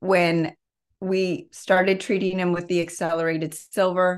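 A woman's fairly low, monotone, flat voice at a fairly slow pace, on a very clean recording with a silent background. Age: 40s. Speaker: health expert. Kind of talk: interview.

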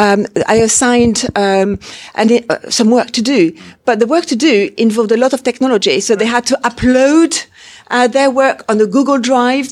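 Against noticeable background noise, a woman speaks at a moderate pace in a fairly high pitch. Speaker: interpreting course lecturer. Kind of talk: welcome speech. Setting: university interpreting suite with audience.

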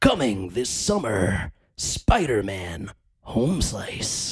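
A man puts on a raspy character voice, fairly low in pitch and very slow in pace. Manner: dramatic.

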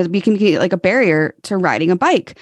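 In a dry, close sound with no echo, a woman speaks at medium pitch with ordinary pitch variation. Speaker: cycling advocate and charity leader. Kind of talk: casual chat. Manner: animated.

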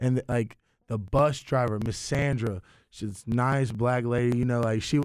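A man speaks in an ordinary speaking voice at a fairly slow pace, his medium pitch held in fairly even intonation. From eastern North Carolina (Greenville), born in Russia. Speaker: DJ and podcast host. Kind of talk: casual interview chat.

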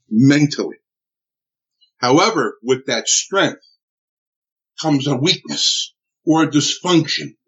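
A man talks very slowly, pausing often and at length. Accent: New Jersey. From US Northeast (Newark, New Jersey). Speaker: military veteran and trainer. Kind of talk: interview testimony. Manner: halting.

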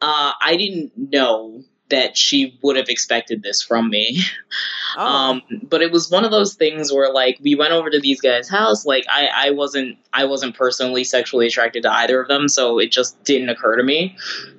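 A man with a fairly high pitch, an ordinary speaking voice, ordinary pitch variation and a moderate pace. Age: 30s. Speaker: podcast co-host, baseball and metal fan. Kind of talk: casual chat.

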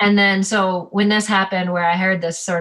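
With a Canadian accent, a woman speaks at a medium pitch in an unremarkable speaking voice. Her pace is moderate. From Ontario, Canada. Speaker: ski guide. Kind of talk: interview. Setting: video call.

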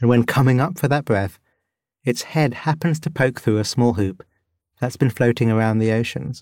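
A plain, everyday voice: a man at a moderate pace, medium pitch, ordinary pitch variation and very even loudness. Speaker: meditation podcast host and guide. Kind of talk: guided meditation and narration. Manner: calm, soothing.

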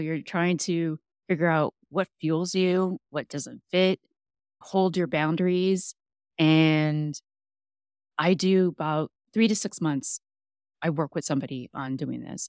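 Pausing long and often, a woman speaks with fairly even intonation in a dry, close sound with no echo on a very clean recording with a silent background. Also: fairly low pitch for a woman, fairly slow pace. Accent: American. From Texas, San Antonio. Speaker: health coach. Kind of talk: casual interview.

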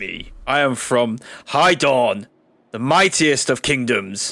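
This man talks at a fairly slow pace in a medium pitch with ordinary pitch variation. The recording is very clean, with a silent background. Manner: curt, terse, proud.

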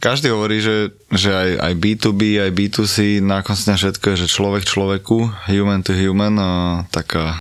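A plain, everyday voice with fairly even intonation speaks at a fairly slow pace on a very clean recording with a silent background. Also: man. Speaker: podcast host. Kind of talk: interview.

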